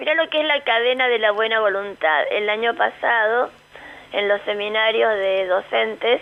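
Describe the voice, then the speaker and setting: A woman with an ordinary speaking voice, fairly high in pitch, at a moderate pace and very even loudness. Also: ordinary pitch variation. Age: 60s. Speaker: foundation director. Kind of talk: radio interview.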